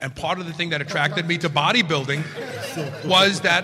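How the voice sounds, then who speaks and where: Music sounds in the background. A man's pitch varies in an ordinary way. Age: 60s. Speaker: podcast host guest panelist. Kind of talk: live panel discussion. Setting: stage with audience.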